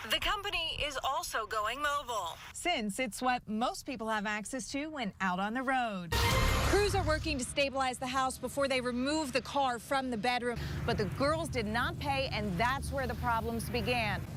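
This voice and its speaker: Over music in the background, a woman with an American accent talks at a moderate pace in a high pitch, with lively intonation and hardly any pauses. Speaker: TV news anchor and reporter. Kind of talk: field reporter package narration. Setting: television news studio and field reports.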